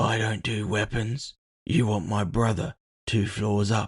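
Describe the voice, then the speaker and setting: A soft-spoken, raspy, put-on character voice moves at a fairly slow pace with fairly even intonation, in a dry, close sound with no echo. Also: man, fairly low pitch for a man. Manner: mild, polite.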